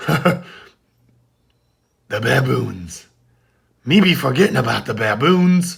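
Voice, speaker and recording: A man's raspy, put-on character voice, fairly high-pitched and fairly slow, with long, frequent pauses. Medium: read story. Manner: pirate dialect.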